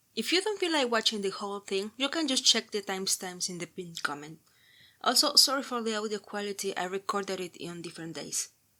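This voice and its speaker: A woman with a Spanish accent speaks at a fairly quick pace, her medium-pitched voice bright and sharp in tone. Her intonation is lively. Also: very clean recording, silent background. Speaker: book vlogger. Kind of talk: casual book review monologue.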